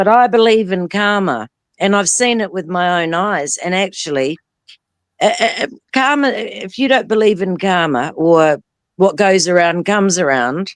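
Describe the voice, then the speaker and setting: Speaking at a moderate pace, a woman uses a normal speaking voice at medium pitch with lively intonation. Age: 50s. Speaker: guest on live stream discussion. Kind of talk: casual chat.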